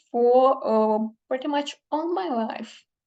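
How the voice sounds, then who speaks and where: A woman speaks very slowly at a high pitch with ordinary pitch variation against a quiet background. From Ukraine. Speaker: literary translator. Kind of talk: conference talk. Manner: halting, many fillers.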